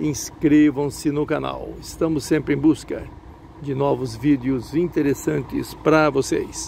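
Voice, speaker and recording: Light background noise and a dry sound with no echo. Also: man. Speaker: bus-spotting channel host. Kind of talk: casual commentary. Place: station. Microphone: phone near.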